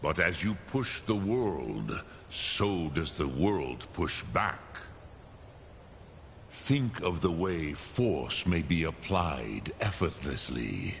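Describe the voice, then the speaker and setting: Using a put-on character voice with a very deep, low pitch, a man speaks at a very slow pace over clear background noise. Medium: video game. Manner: slow, deliberate, sage-like.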